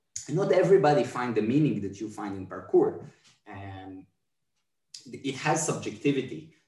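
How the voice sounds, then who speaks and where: A man of medium pitch talks at a moderate pace in a dark, mellow, somewhat breathy tone. His pitch swings very widely, his loudness shifts greatly, and he takes long, frequent pauses. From Israel. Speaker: movement artist and dancer. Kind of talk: casual chat. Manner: halting.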